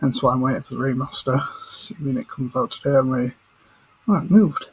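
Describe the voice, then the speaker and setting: Quiet and at a fairly quick pace, a man speaks with a medium pitch. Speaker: gaming commentator. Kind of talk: casual gaming chat while playing. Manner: hushed, keeping quiet.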